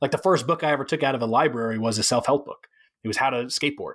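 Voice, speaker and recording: Delivered at a very fast pace with ordinary pitch variation, the speech is captured in a very clean recording against a silent background. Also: man. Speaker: dog trainer. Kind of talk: interview conversation.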